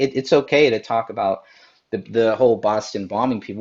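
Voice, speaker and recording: He talks at a very fast pace. This man's pitch sits fairly low. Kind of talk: casual chat. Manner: stutters.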